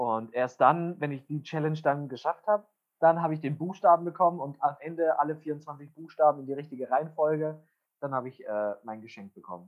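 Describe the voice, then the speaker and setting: An unremarkable speaking voice at a fairly quick pace, with ordinary pitch variation and big swings in loudness. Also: man, fairly high pitch for a man. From Bavaria (Wunsiedel, Upper Franconia). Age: 20s. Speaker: musical theatre actor. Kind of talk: casual chat.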